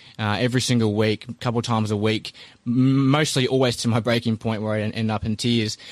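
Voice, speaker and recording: A man with a New Zealand accent at a medium pitch, fairly quick and monotone, flat in intonation, on a very clean recording with a silent background. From New Zealand, Christchurch. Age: 30s. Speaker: army veteran and small business owner. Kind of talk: interview, casual.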